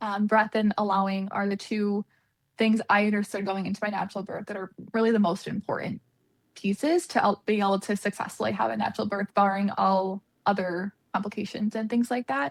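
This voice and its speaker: A woman's medium-pitched voice at a fairly quick pace, with fairly even intonation and a dry, close sound with no echo. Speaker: registered dietitian. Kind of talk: interview conversation. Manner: fast; casual, many fillers.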